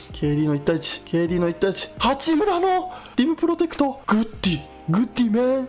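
A man at a fairly slow pace with big swings in loudness, faint music in the background. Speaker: basketball streamer. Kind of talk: live sports commentary. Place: home room.

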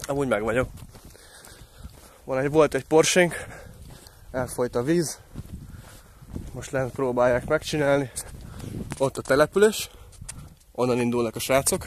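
The speaker leaves long, frequent pauses. Pitch varies in an ordinary way. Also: man, medium pitch for a man.

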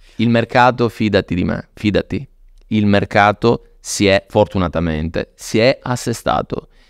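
Speaking at a fairly slow pace, a man with fairly low pitch and ordinary pitch variation is heard in a dry sound with no echo against a quiet background. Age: 40s. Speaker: luxury watch dealer; podcast guest. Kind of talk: casual interview. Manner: animated. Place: studio. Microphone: studio mic.

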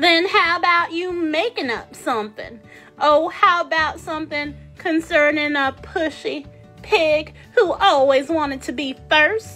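Over faint background music, a woman cackles in a raised, projected, extremely high put-on character voice at a fairly slow pace. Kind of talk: children's storytime puppet voice. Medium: puppet show. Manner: imperious, mocking, gleeful.

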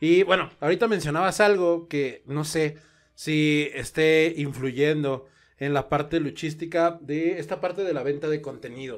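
A man with a plain, everyday voice, fairly high pitch, fairly even intonation and a fairly slow pace, on a very clean recording with a silent background. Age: 30s. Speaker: podcast host, wrestling photographer. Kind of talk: casual chat.

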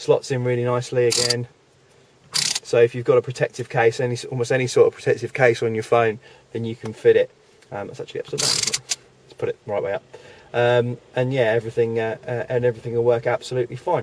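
Speech at a very fast pace, dry with no echo, over noticeable background noise. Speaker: product demonstrator. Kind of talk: product demonstration tutorial. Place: car. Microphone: phone near.

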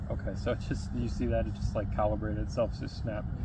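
Over loud background noise, a man talks very fast in a dry sound with no echo. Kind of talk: tutorial. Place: open country. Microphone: phone near.

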